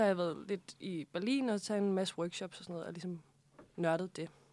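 A woman of medium pitch speaks at a fairly quick pace with fairly even intonation. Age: 20s. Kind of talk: casual interview. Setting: studio.

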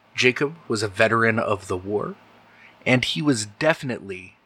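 A man's medium-pitched voice with a bright, sharp tone and lively intonation. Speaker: game master and podcast host. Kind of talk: actual play horror roleplaying game, with podcast intro and outro. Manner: narrating descriptively, with some hesitation.

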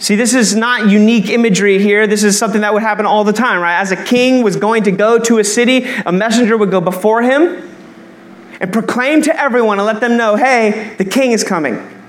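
Amid audible room echo and noticeable background noise, a man with a high pitch talks at a fairly quick pace, his loudness very even. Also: ordinary pitch variation. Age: 20s. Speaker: pastor. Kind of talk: sermon. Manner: animated.

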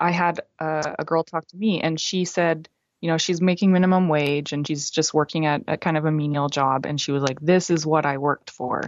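Talking at a fairly quick pace, a woman has a fairly low pitch and an unremarkable speaking voice. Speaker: film critic. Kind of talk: casual chat.

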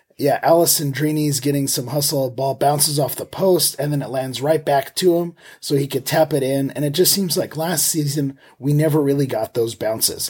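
A somewhat breathy man speaks at a moderate pace with fairly even intonation. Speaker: soccer podcast host. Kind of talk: casual match discussion. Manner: hesitant, many fillers.

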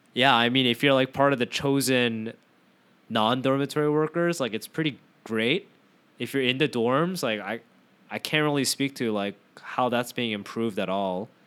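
Speaking at a moderate pace and medium pitch with ordinary pitch variation, a man has an unremarkable speaking voice. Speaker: podcast host. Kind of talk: casual chat. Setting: remote call.

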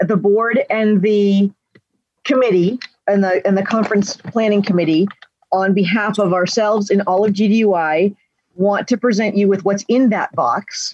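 A woman speaks at a fairly slow pace in a medium pitch, with an unremarkable speaking voice, very even loudness and fairly even intonation, in a dry, close recording with no echo. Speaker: convention coordinator and moderator. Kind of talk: moderating a virtual convention session. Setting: video call.

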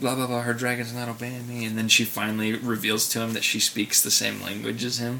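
Noticeable background noise is present. Over it, a man keeps a moderate pace. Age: 20s. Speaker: podcast co-host. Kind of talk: casual chat.

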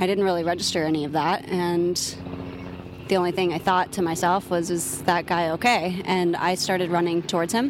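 Noticeable background noise sits behind the speaker. A woman talks fairly quickly at a fairly low pitch. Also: fairly even intonation. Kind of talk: casual outdoor interview. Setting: outdoors in a park.

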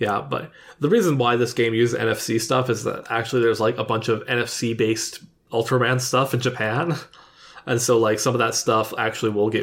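A man's normal speaking voice at a medium pitch and moderate pace, with fairly even intonation and a very clean recording over a silent background. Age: 30s. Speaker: gaming podcast co-host. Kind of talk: casual chat.

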